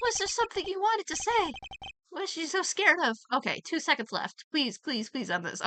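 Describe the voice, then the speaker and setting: Squeaky and extremely high-pitched, a woman does a put-on character voice with very wide pitch swings, talking at a fairly quick pace in a dry, close recording with no echo. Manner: desperate, pleading.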